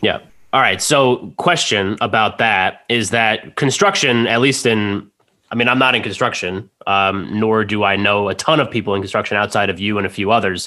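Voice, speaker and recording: At a moderate pace, a man with a normal speaking voice and fairly low pitch talks with ordinary pitch variation and very even loudness. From New Jersey. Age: 30s. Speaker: podcast host. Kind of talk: casual chat. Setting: studio.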